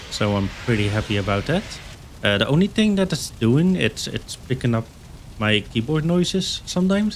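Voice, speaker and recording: Noticeable noise stays in the background. Against it, a man speaks fairly quickly, his pitch swinging very widely. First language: not English. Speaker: gaming YouTuber. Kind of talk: gameplay commentary. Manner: casual, halting with fillers.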